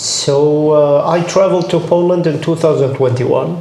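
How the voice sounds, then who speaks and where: A man speaks at a fairly high pitch and a fairly slow pace with fairly even intonation. Background noise is noticeable. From Jordan, Palestinian family. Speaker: combat medic. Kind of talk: interview. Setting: audio-only recording.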